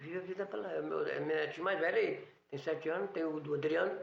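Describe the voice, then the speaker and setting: Audible room echo surrounds the recording. A man speaks at a fairly quick pace. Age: 60s. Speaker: newsstand owner. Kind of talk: interview.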